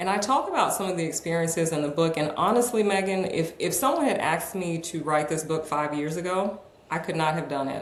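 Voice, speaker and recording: In an American accent, a woman talks at a fairly quick pace with hardly any pauses, her fairly low pitch showing ordinary variation, amid audible room echo and noticeable background noise. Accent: American, slight Southern words. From New York, then North Carolina. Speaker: author and executive coach. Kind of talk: podcast interview.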